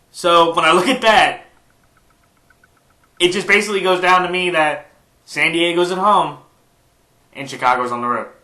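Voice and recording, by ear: With audible room echo, a man speaks at a moderate pace in a high pitch with a bright, sharp tone, ordinary pitch variation and long, frequent pauses.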